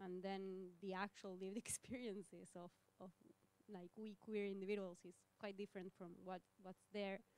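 A woman with a Spanish accent speaks at a moderate pace in a medium pitch. Her intonation is monotone and flat, and the sound is dry with no echo. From Argentina. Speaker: panelist. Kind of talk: audience question. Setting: university hall with audience. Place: hall.

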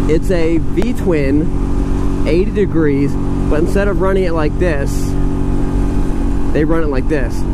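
A man is speaking in a dry sound with no echo. Loud background noise fills the recording. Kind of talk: casual ride commentary. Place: motorbike.

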